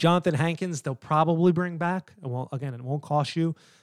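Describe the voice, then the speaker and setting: Recorded very cleanly against a silent background, the dry, close sound with no echo carries an animated tone in an American accent, delivered at a fairly quick pace with ordinary pitch variation. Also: man. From New York. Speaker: sports podcast host. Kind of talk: solo sports commentary.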